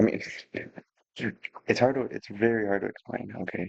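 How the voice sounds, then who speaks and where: A man whispers at a moderate pace in a dry, close sound with no echo. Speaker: music producer. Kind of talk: tutorial. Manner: whispering; halting.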